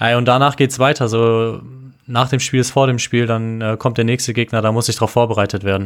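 A man at medium pitch and moderate pace, with monotone, flat intonation, very even loudness and a very clean recording over a silent background. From Düsseldorf area, western Germany. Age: 20s. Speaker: American football player. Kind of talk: casual interview.

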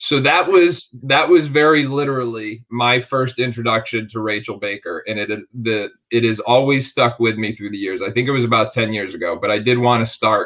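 This man has an ordinary speaking voice, with ordinary pitch variation. He keeps a moderate pace with hardly any pauses. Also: medium pitch for a man. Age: 40s. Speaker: basketball podcast host. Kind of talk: interview.

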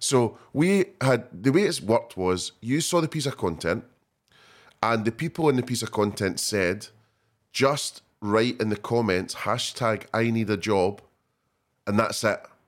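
An unremarkable speaking voice comes from a man at a medium pitch, moving at a fairly slow pace with lively intonation. The recording is very clean, with a silent background. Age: 40s. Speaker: podcast host. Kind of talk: casual interview; scripted outro.

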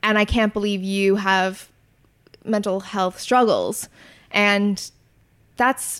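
A woman's medium-pitched voice on a very clean recording with a silent background. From Canada. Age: 20s. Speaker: content creator and YouTuber. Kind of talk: casual interview.

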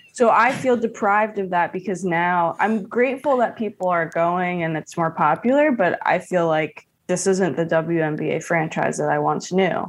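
A woman speaks in a plain, everyday voice with an American accent, fairly low in pitch. Her pace is moderate with hardly any pauses and lively intonation, against a quiet background. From New York City (Hell's Kitchen, Queens). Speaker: comedian. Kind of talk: casual chat.

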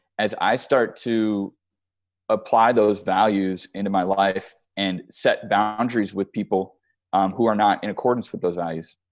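With music in the background, a man with an American accent talks at a fairly slow pace and a fairly low pitch, his intonation fairly even. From Chicago. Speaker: creative director and film producer. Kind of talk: interview. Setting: call.

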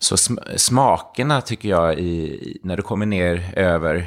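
A man's pitch varies in an ordinary way as he talks fairly slowly. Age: 50s. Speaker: yoga teacher and retreat owner. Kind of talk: casual interview.

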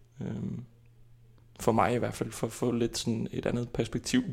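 A man with an Icelandic accent speaks at a very slow pace, leaving long, frequent pauses. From Iceland, capital area. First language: Icelandic (speaking Danish). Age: 20s. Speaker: actor. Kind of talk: interview. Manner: halting.

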